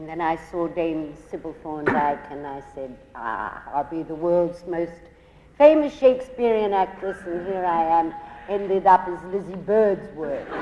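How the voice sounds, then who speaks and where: A woman's fairly low voice at a fairly slow pace, lively in intonation and swinging widely in loudness, with noticeable background noise and audible room echo. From Australia, Melbourne. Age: 70s. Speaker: actress. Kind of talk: on-stage interview.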